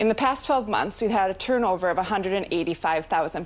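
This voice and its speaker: A woman talks at a fairly quick pace in an unremarkable speaking voice. Her pitch is medium, with ordinary pitch variation. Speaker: entrepreneur pitching to investors. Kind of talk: rehearsed business pitch; answering investor questions.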